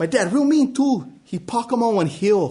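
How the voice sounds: Lively intonation carries a man's extremely high pitch, his tone dark and mellow. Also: moderate pace.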